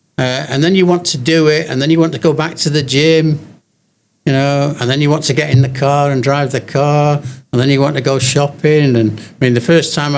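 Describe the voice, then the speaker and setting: In an English accent, a man talks at a fairly quick pace and fairly high pitch, his loudness very even and his intonation fairly even. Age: 80s+. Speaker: elderly gym-goer. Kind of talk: interview. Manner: halting.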